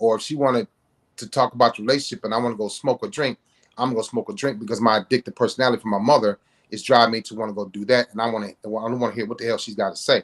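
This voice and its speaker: A man with an American accent, medium-pitched, at a very fast pace, with big swings in loudness, a dry, close sound with no echo and a quiet background. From US Midwest, Cleveland. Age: 50s. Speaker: author. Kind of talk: interview. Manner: animated.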